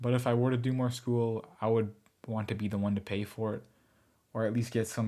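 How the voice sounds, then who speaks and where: A man with a medium pitch and a dark, mellow tone speaks at a fairly quick pace in monotone, flat intonation on a very clean recording with a silent background. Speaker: commentary YouTuber. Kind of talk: semi-scripted vlog monologue.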